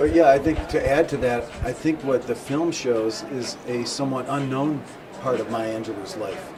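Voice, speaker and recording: With crowd noise in the background, a man talks at a moderate pace. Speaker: documentary film director. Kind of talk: interview answer.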